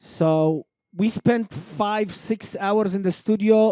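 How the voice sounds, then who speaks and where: Dry and close with no echo, a man with a non-native accent speaks in a dark, mellow tone with ordinary pitch variation. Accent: noticeable non-native accent in English. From Lydda, Palestine. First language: Arabic. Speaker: rapper. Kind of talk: interview conversation. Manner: halting, many repetitions.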